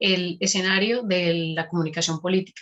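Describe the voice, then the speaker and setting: Using a normal speaking voice, a woman of medium pitch talks at a fairly slow pace with fairly even intonation. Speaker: academic researcher, presenter. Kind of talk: conference presentation.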